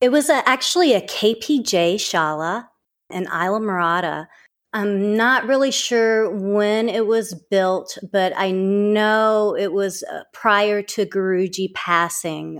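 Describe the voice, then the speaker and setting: A woman speaks very slowly in a Southern US accent. The recording is very clean with a silent background. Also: medium pitch for a woman, ordinary pitch variation. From US South, southern Mississippi. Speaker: acupuncturist and yoga teacher. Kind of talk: interview.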